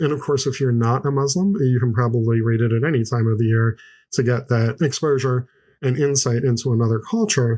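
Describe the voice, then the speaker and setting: A man speaks at a medium pitch with a dark, mellow, somewhat breathy tone. His loudness stays very even, and his pitch varies in an ordinary way. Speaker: podcast host reviewing children's books; parent. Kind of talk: book review podcast talk. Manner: repetitive, some false starts.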